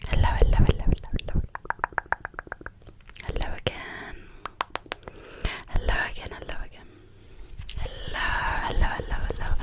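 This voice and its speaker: Whispering in a gentle tone at a moderate pace, the speaker leaves long, frequent pauses over noticeable background noise. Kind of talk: casual ASMR greeting to viewers. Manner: whispered, gentle.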